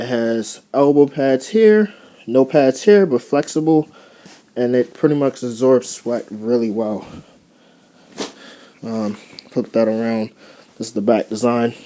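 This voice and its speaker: A man's medium-pitched, dark, mellow tone at a fairly slow pace, with ordinary pitch variation and long, frequent pauses. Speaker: airsoft vlogger. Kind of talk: casual gear show-and-tell vlog. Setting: bedroom. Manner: casual, hesitant with fillers.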